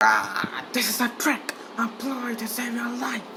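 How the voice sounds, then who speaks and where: This put-on character voice is raspy and fairly high-pitched. It moves at a fairly slow pace. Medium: dub. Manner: agitated, distressed.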